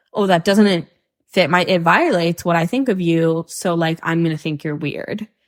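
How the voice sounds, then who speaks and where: A woman's plain, everyday voice, fairly low-pitched, with a North American accent, at a moderate pace, with ordinary pitch variation and a dry, close sound with no echo. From Hong Kong. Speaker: podcast guest. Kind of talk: casual chat.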